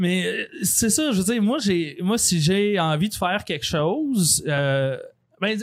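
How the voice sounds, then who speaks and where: In a very clean recording with a silent background, a man with a Quebec accent speaks at a very slow pace with lively intonation. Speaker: true crime podcaster and author. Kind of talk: casual interview. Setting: recorded in a bar.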